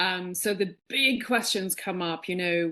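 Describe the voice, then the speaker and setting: Over a quiet background, a woman with an Irish accent talks fairly slowly in a fairly low pitch. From Ireland, Dublin. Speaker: podcast guest, spiritual speaker. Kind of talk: casual interview, personal story.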